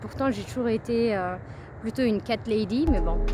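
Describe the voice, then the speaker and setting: With ordinary pitch variation, a woman at a fairly high pitch talks at a moderate pace. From Paris, France. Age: 30s. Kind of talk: casual vlog narration on a nature walk. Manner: hesitant, chatty.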